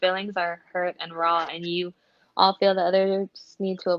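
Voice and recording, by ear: Someone reads aloud in a natural voice over a quiet background.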